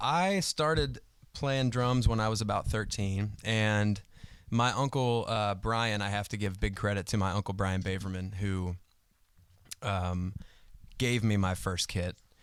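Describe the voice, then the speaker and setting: The recording is very clean, with a silent background. A man talks at a fairly slow pace, his fairly low voice showing ordinary pitch variation. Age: 30s. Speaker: drummer. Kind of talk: casual interview chat. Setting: livestream video. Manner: loud.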